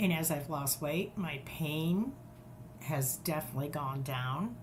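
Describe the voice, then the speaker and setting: A woman speaks at a fairly slow pace with a very deep, low pitch and a somewhat breathy quality. Her pitch varies in an ordinary way, and there is audible room echo. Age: 60s. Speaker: podcast guest. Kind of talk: interview.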